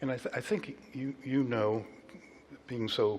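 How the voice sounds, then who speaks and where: There's noticeable noise behind the speech. The man's delivery is fairly slow. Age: 70s. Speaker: college president and pastor. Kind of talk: conversation in a church service. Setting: church.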